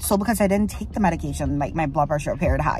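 Music plays in the background while a woman talks at a very fast pace. The sound is dry with no echo. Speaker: pregnant vlogger. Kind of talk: casual vlog chat. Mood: anxious, worried. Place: car. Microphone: phone near.

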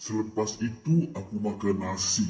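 Somewhat breathy and dark, mellow in tone, a man speaks very slowly at a fairly low pitch. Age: 80s+. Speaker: elderly man sharing health tips. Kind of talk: personal testimony, advice.

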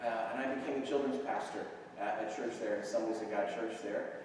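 Strong room echo surrounds a man's voice, with light background noise behind it. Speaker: visiting missionary preacher. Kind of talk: sermon. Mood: warm, enthusiastic. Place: church.

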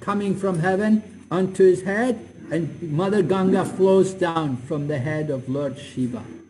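A man with a fairly high pitch and a slightly mellow tone talks at a fairly slow pace with ordinary pitch variation, and the room echo is audible.

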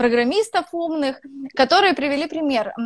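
A woman is speaking. The sound is dry with no echo, and the background is quiet. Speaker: live stream host. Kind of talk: interview. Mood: warm, friendly, smiling. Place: home room. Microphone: poor sound; earbuds.

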